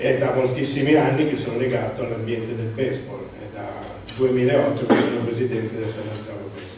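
Speech at a fairly quick pace comes through strong room echo and noticeable background noise. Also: man, medium pitch for a man. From France, Italian parents. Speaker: transport sector manager, council candidate. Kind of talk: campaign speech. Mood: somewhat nervous, first public talk. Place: hall. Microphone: camera far.

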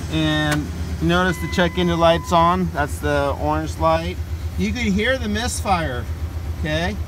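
Dry sound with no echo, a man at a moderate pace, noticeable background noise. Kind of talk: tutorial. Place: car. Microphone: phone near.

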